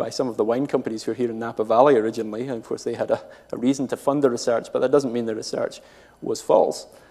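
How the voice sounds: With a Scottish accent, a man speaks at a medium pitch in a dark, mellow tone with vocal fry and fairly even intonation.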